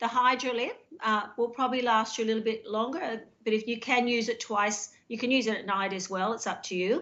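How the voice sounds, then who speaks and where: A woman with an Australian accent speaks at a fairly quick pace and fairly high pitch, with ordinary pitch variation and hardly any pauses. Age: 50s. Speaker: skincare business owner, host's wife. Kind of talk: sales pitch.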